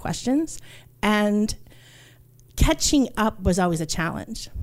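A woman with a New York accent, fairly slow pace and lively intonation, on a very clean recording with a silent background. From New York, Puerto Rican family. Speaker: archaeologist. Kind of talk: storytelling. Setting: stage with audience.

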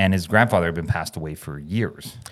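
In a very clean recording with a silent background, a man with a Canadian accent talks at a fairly quick pace with ordinary pitch variation. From Canada. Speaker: chiropractor and podcast host. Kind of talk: casual chat. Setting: podcast studio.

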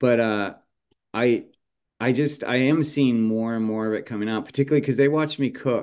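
Someone with a normal speaking voice and an American accent talks at a fairly quick pace with fairly even intonation. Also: man, medium pitch for a man. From California, San Jose. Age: 50s. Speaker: chef and seasoning company founder. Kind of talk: casual interview chat.

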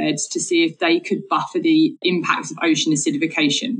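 With a southern English accent, a woman talks at a moderate pace with lively intonation. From Essex, England. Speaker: marine biologist. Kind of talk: interview.

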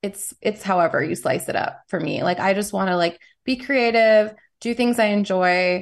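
A woman's ordinary speaking voice with an American accent, medium pitch, ordinary pitch variation and a moderate pace. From New York City. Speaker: musician. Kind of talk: casual chat.

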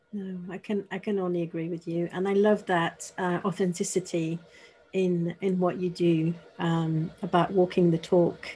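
A woman with a fairly low pitch and a dark, mellow tone, somewhat breathy, at a moderate pace in a monotone, flat intonation. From France (Paris). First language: French. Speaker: podcast host. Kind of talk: interview.

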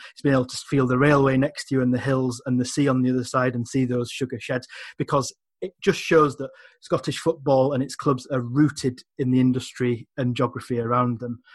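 With an English accent, a man talks at a fairly quick pace in a medium pitch, somewhat breathy and with monotone, flat intonation. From England. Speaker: magazine editor and football writer. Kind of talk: casual chat.

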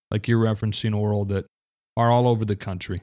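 A man with an American accent speaks in a fairly low, dark, mellow tone with monotone, flat intonation. The recording is very clean, with a silent background and a dry, close sound with no echo. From Michigan, US. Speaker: baseball podcast host. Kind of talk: casual chat.

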